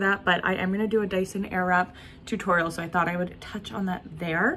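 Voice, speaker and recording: A woman talks at a very fast pace. Light background noise sits behind her. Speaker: lifestyle vlogger. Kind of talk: casual vlog chat. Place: home room. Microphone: phone near.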